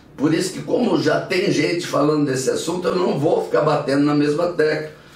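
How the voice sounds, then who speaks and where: The man's pitch is fairly high, with ordinary variation. Audible room echo and noticeable background noise surround him. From Brazil, Minas Gerais. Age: 70s. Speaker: pastor. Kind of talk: bible teaching.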